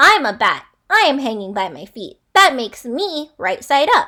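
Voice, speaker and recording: Loud and at a moderate pace, a woman uses a put-on character voice, high in pitch with very wide pitch swings. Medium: read story.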